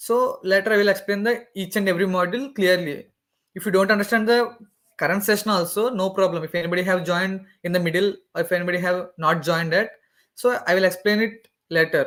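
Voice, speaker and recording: A man's high voice, very fast delivery with fairly even intonation. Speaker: student tech ambassador teaching cloud course. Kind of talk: online lecture. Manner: halting.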